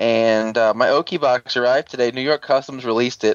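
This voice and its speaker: A man with an American accent uses a plain, everyday voice at medium pitch and a moderate pace. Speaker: tokusatsu podcast co-host. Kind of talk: casual chat.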